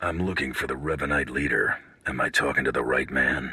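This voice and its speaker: This put-on character voice is raspy and moves at a fairly quick pace. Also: man, very deep, low pitch for a man. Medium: video game. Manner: blunt, dry.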